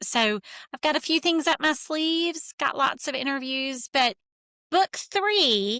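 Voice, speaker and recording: Recorded very cleanly against a silent background, a woman talks at a moderate pace in a bright, sharp tone, with a dry, close sound and no echo. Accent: Southern US. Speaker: therapist and author. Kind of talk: interview.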